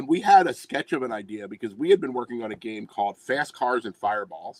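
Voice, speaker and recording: In a Philadelphia accent, a man talks at a very fast pace with a medium pitch and very wide pitch swings. His loudness swings a lot, and the sound is dry and close with no echo. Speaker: tabletop game publisher. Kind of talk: casual chat.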